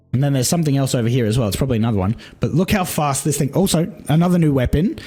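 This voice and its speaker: A man talks in a fairly high voice. His delivery is somewhat breathy. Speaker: gaming content creator. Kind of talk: casual trailer reaction commentary. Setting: recorded during a livestream. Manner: excited.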